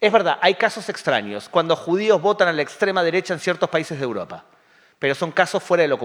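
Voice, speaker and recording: A man's high-pitched voice with lively intonation at a very fast pace. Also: very clean recording, silent background. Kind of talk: public talk with audience questions. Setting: community center with live audience.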